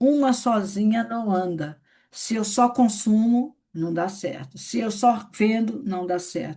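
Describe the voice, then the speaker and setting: Against a quiet background, a woman speaks very slowly in a somewhat breathy, fairly high voice with ordinary pitch variation. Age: 60s. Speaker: network marketing leader. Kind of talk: training session. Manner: conversational.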